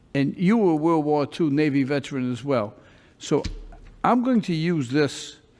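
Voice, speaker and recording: A plain, everyday voice from a man, fairly high in pitch, with lively intonation and a moderate pace. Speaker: judge. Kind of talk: judge addressing defendant in court. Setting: courtroom.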